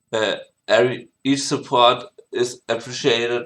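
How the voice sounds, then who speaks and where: The speaker has a German accent. The background is quiet. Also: man. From Germany. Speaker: music producer. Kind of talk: tutorial. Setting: home screen recording. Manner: halting, many fillers and restarts. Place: home room.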